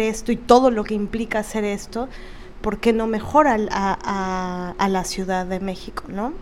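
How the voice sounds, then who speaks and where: This woman has an unremarkable speaking voice and a fairly high pitch. She talks at a fairly slow pace with fairly even intonation. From Veracruz, Mexico. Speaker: podcast co-host, theater actress. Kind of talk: casual chat.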